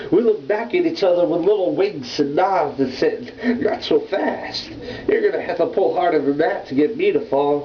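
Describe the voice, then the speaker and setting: A man speaks at a moderate pace with lively intonation over noticeable background noise. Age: 20s. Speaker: slam poet. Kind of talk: slam poetry performance. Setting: home.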